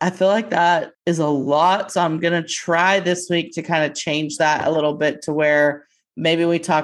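Over a quiet background, a woman with an American accent speaks at a fairly slow pace in a very deep, low pitch. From Texas. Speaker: sports betting podcast co-host. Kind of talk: casual chat.

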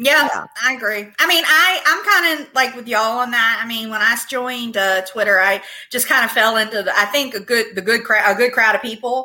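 A woman with an American accent has a plain, everyday voice and a fairly high pitch. She talks at a fairly quick pace with ordinary pitch variation and hardly any pauses. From Virginia. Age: 40s. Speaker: podcast guest. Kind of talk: casual chat.

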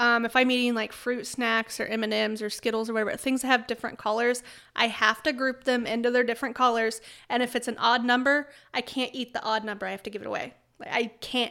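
A woman's high, bright, sharp voice, monotone and flat, at a very fast pace over a very clean, silent background. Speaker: podcast co-host.

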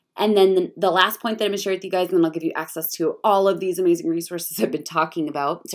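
A woman does a put-on character voice, raspy and medium in pitch. She talks at a very fast pace with hardly any pauses. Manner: talking fast, rushed.

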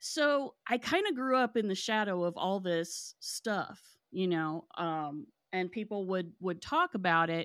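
In a very clean recording with a silent background, a woman with an American accent and an unremarkable speaking voice talks at a fairly slow pace, using lively intonation at a medium pitch. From West Virginia, Kanawha County. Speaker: paranormal podcast host. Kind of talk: casual interview chat.

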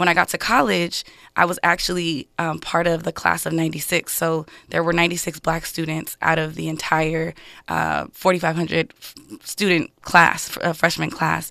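A woman's fairly low voice at a moderate pace, bright and sharp in tone, with vocal fry and fairly even intonation. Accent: Californian. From Los Angeles, US. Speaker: political candidate. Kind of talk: radio interview. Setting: studio.

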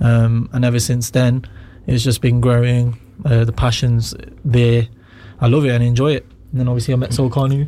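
A man's medium-pitched, monotone voice with flat intonation, a moderate pace, long, frequent pauses and noticeable background noise. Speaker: rapper. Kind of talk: casual chat. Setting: studio.

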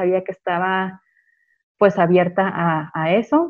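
Her voice is pitched in the middle range. She is a woman speaking. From Chihuahua, Mexico. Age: 20s. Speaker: home birth mother and meditation shop owner. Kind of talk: interview storytelling. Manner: halting with many fillers.

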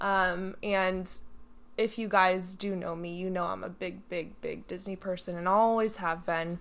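There is audible room echo as a woman speaks fairly slowly at a medium pitch with monotone, flat intonation. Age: 20s. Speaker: podcast co-host, former competitive swimmer. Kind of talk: casual chat.

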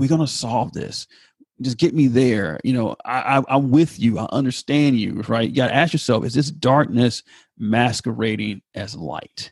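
An ordinary speaking voice in an American accent moves at a moderate pace with ordinary pitch variation, recorded in a dry, close sound with no echo against a quiet background. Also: man, medium pitch for a man. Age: 40s. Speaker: pastor. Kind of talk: casual chat.

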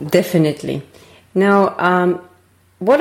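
Intonation stays fairly even in this voice with a Finnish accent. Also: woman. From Finland. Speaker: podcast host. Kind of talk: interview.

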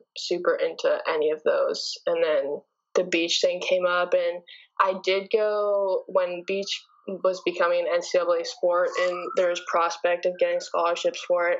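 A woman talks at a fairly slow pace. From Canada. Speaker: beach volleyball player. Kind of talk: interview.

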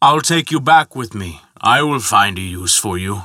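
A man bellows in a put-on character voice with a fairly low pitch, a bright, sharp tone and lively intonation. He goes at a fairly slow pace in a very clean recording with a silent background.

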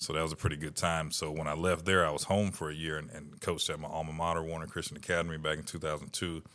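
A voice with an American accent races along at a very fast pace with hardly any pauses, monotone and flat, in a bright, sharp tone. The recording is very clean, with a silent background. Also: man, very deep, low pitch for a man. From Florida (Daytona). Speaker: college football coach. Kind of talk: interview. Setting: coaching clinic.

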